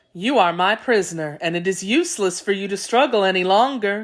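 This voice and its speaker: This woman talks fairly quickly, her voice pitched in the middle range. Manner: calm, gentle.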